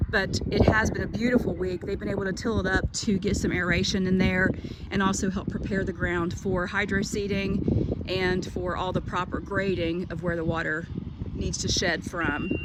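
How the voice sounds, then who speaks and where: A woman at medium pitch, monotone with flat intonation, at a moderate pace, with audible room echo and noticeable background noise. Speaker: school administrator giving a tour. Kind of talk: walking tour video narration. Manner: casual, friendly.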